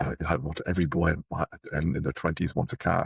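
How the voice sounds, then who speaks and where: A man with an Irish accent, vocal fry and a fairly quick pace, in a very clean recording with a silent background and a dry, close sound with no echo. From Ireland, Dublin. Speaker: technology executive. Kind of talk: interview. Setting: podcast.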